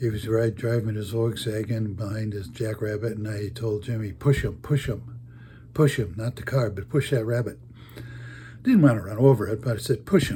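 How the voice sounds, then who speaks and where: A man speaks at a moderate pace in a medium pitch, his dark, mellow tone somewhat breathy and his intonation fairly even. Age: 80s+. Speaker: storyteller. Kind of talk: casual storytelling. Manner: halting.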